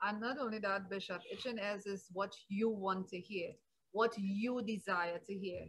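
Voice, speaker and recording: A woman with fairly even intonation at a moderate pace. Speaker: pastor. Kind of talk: sermon, Bible teaching; preaching discussion. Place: home room. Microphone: webcam.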